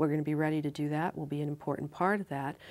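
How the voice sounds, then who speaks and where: A woman's very deep, low voice with fairly even intonation. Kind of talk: interview answer. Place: studio.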